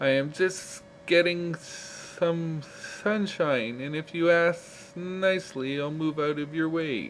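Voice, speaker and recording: A hissing, put-on character voice from a man, high-pitched for a man, at a fairly slow pace with hardly any pauses, amid clear background noise. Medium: read story.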